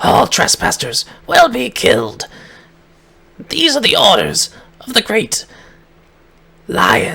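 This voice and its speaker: A man growls in a put-on character voice, pitched high. He talks at a fairly slow pace with long, frequent pauses. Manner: snarling, menacing.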